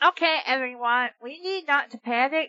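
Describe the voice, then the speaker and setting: A woman's put-on character voice, nasal and high-pitched, with ordinary pitch variation at a moderate pace. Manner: pinched-nose voice.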